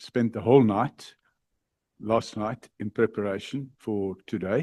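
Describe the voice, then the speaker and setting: Against a quiet background, a man speaks at a fairly low pitch in a dark, mellow tone, the sound dry and close with no echo. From Ireland. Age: 70s. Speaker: witness at parliamentary inquiry. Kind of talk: formal testimony. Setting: parliament committee chamber. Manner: halting.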